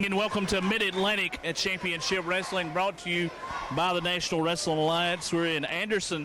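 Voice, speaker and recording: A man with a high pitch, a monotone, flat intonation, and a moderate pace over noticeable background noise. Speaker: wrestling commentator. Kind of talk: live sports play-by-play commentary.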